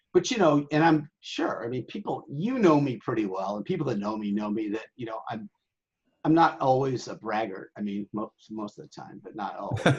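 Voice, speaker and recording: A man speaks at a moderate pace and a medium pitch. His intonation is lively, with big swings in loudness. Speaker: sailing website owner. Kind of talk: casual interview. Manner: animated.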